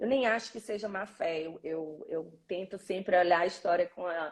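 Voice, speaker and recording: Against a quiet background, a woman with a northeastern Brazilian accent speaks at a fairly slow pace with lively intonation. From Brazil, Northeast (Fortaleza, Ceará). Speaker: orthodontist. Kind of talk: live interview.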